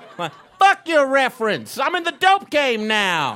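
An American accent comes from a man speaking at a fairly slow pace. His pitch swings very widely. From Texas, Fort Worth. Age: 30s. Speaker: stand-up comedian. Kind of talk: stand-up. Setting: stage with audience.

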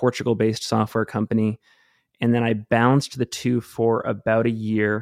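Against a quiet background, a man with an American accent and medium pitch speaks at a moderate pace with monotone, flat intonation, the sound dry and close with no echo. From US Northeast (Maine). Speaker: podcast host and trail runner. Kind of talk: casual interview. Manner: halting, many restarts.

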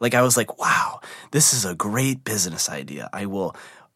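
This man's voice sits at a fairly low pitch, with lively intonation. He speaks at a moderate pace. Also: very clean recording, silent background. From US Midwest. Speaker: viral video maker. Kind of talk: interview storytelling.

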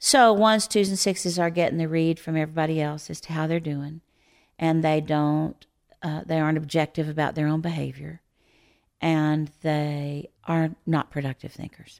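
A woman talks at a moderate pace in a very deep, low voice with fairly even intonation. The recording is very clean, with a silent background. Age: 60s. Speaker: Enneagram teacher. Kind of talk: interview conversation.

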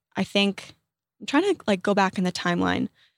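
On a very clean recording with a silent background, a woman with an American accent speaks at medium pitch in an ordinary speaking voice. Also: dry, close sound with no echo. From US South, southeastern Virginia. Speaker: social media creator. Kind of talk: casual chat. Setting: studio.

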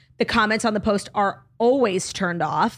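With an American accent, a woman with an unremarkable speaking voice and medium pitch talks with lively intonation in a very clean recording with a silent background. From United States. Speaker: comedian. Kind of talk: casual chat.

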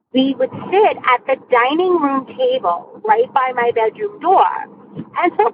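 Very wide pitch swings at a fairly slow pace, with an American accent. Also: woman. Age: 40s. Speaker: caller telling a ghost story. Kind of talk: voicemail ghost story told by a caller while driving, personal first-person recollection. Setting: phone message recorded while driving in a car. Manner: casual, halting with frequent ums and uhs.

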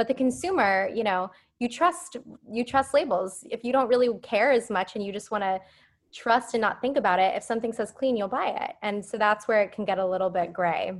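Fairly high-pitched woman at a fairly quick pace, a plain, everyday voice with lively intonation, on a very clean recording with a silent background. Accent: American. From Phoenix, Arizona. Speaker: beauty brand founder. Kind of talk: interview. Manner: casual, filler-heavy.

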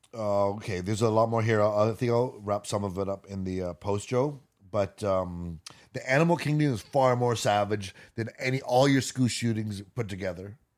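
At a moderate pace, a man in a plain, everyday voice speaks at a fairly low pitch with ordinary pitch variation. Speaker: podcast co-host. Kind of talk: casual chat.

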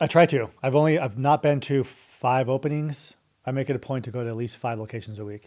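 Recorded very cleanly against a silent background, a man with an American accent and an unremarkable speaking voice talks fairly quickly at a medium pitch, with ordinary pitch variation and big swings in loudness. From Colorado. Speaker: restaurant company executive. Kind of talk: casual interview.

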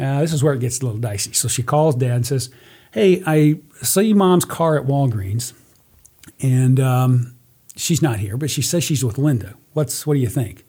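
With a dark, mellow tone and a somewhat breathy quality, a man speaks at medium pitch with ordinary pitch variation. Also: moderate pace. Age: 60s. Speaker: guest, father of a host, true crime storyteller. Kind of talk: casual chat.

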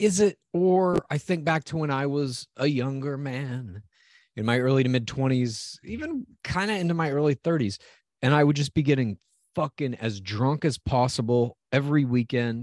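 A man's ordinary speaking voice, fairly high in pitch with ordinary pitch variation, at a moderate pace, dry and close with no echo. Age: 40s. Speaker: podcast co-host. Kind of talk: casual chat. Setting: video call.

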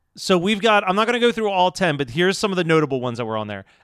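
On a very clean recording with a silent background, a man with a Philadelphia accent speaks at a high pitch with very wide pitch swings. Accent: Delco Philly. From Delaware County, Philadelphia area. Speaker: podcast co-host. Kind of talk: casual chat.

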